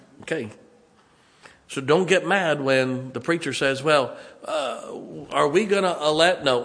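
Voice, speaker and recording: With audible room echo, a man speaks at a moderate pace and a fairly high pitch, using lively intonation broken by long, frequent pauses. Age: 50s. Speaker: pastor. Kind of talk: sermon. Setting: church.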